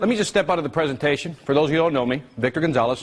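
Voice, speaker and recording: The speaker goes at a very fast pace with ordinary pitch variation. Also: man. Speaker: seminar speaker. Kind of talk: seminar talk. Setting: stage with audience. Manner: animated.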